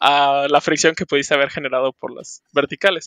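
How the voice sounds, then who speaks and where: On a very clean recording with a silent background, a man speaks at a moderate pace with a dry, close sound and no echo. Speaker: board game hobbyist. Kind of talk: casual chat.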